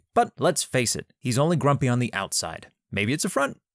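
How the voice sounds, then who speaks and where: At a moderate pace, a man speaks at a fairly high pitch on a very clean recording with a silent background and a dry, close sound with no echo. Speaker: narrator. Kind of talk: documentary narration.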